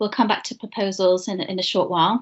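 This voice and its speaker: Against a quiet background, a woman speaks with a British accent. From UK. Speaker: internship program manager. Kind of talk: presentation. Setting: video call. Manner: hesitant fillers. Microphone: video call.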